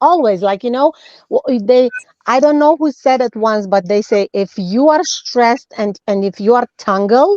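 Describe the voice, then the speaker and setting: In a non-native accent, a woman speaks at a moderate pace with a high pitch, lively intonation and a dark, mellow tone. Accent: foreign. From former USSR. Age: 40s. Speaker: nutritionist. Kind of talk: interview. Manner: halting, self-correcting.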